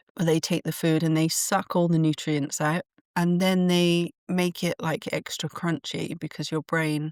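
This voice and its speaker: A woman with an English accent, a very deep, low pitch, fairly even intonation and a moderate pace, on a dry, close recording with no echo, very clean with a silent background. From England. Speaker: podcast host and channeler. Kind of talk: solo podcast monologue. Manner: conversational with fillers and restarts.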